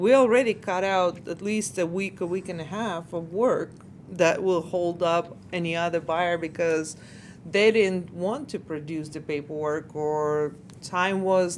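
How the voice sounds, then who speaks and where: Speaking at a fairly slow pace, this is a plain, everyday voice. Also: woman. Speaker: mortgage lending host and interviewer. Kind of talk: interview question.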